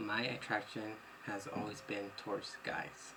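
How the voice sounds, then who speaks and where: There is audible room echo and noticeable background noise as a man speaks at a fairly low pitch. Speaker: vlogger. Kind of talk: personal testimony vlog. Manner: rambling, unedited talk with fillers.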